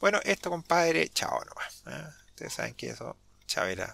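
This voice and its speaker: With a bright, sharp tone, a man speaks at a moderate pace, his pitch swinging very widely. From Chile. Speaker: Linux YouTuber. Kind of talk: tutorial. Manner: hesitant, many fillers; talkative.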